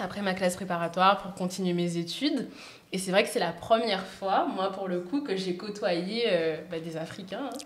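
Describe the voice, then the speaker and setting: Audible room echo and noticeable background noise surround the speech. A woman talks at a moderate pace in a medium pitch with ordinary pitch variation. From Guadeloupe. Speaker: podcast guest. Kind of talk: casual chat.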